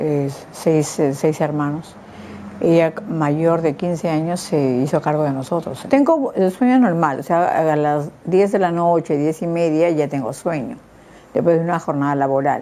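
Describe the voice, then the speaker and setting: Against noticeable background noise, a woman speaks at a fairly slow pace in a very deep, low pitch with ordinary pitch variation. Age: 60s. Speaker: patient with insomnia. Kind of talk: testimony. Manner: halting.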